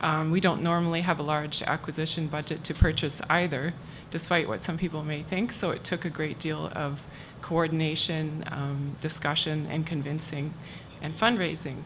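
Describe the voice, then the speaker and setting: Soft-spoken, a woman talks at a very deep, low pitch amid audible room echo. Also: fairly even intonation, moderate pace. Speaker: archivist at a university library. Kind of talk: conference talk.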